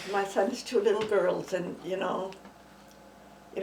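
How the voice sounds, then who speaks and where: Speaking at a fairly quick pace and medium pitch, a woman is heard with audible room echo and noticeable background noise. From Saskatchewan, Canada. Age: 80s+. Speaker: retired senior, interviewee. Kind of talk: oral history interview. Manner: halting, with fillers.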